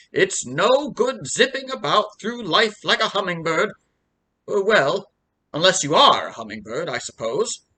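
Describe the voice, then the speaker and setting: A put-on character voice, pompous in tone, fairly high in pitch, at a moderate pace. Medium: read story. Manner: pompous, rambling.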